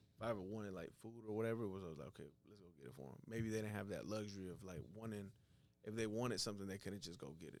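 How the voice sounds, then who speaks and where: A man with an American accent talks at a very fast pace, his fairly low pitch varying in an ordinary way. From Atlanta area, US (Mexican family). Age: 20s. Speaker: entrepreneur, epoxy floor installer. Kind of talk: casual interview.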